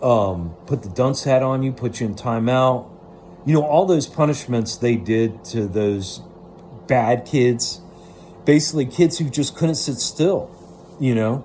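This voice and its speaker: The voice has an animated tone and lively intonation. Its pace is fairly slow. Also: man, medium pitch for a man. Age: 40s. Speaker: vlogger. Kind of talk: personal monologue. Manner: rambling with repetitions.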